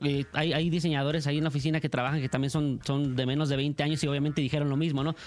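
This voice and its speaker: Talking at a very fast pace, a man keeps a fairly high pitch with monotone, flat intonation. His loudness stays very even. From Michoacán, Mexico. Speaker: singer. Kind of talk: interview. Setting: radio studio.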